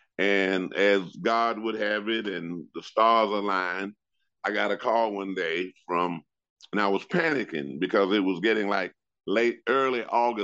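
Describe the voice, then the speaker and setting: With a plain, everyday voice and an American accent, a man speaks at a fairly slow pace and fairly low pitch with ordinary pitch variation, against a quiet background. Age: 60s. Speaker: retired PE teacher and coach. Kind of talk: casual interview chat.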